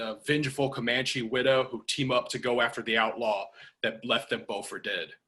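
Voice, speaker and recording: This man has an American accent and a medium pitch. His tone is bright and sharp, and his pace fairly quick. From Chicago. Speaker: film director. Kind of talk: video call Q&A interview. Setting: video call.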